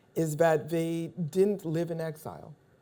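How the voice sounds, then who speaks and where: A woman speaks with a French accent. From Haiti. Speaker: novelist. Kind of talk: panel discussion. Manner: hesitant, with fillers.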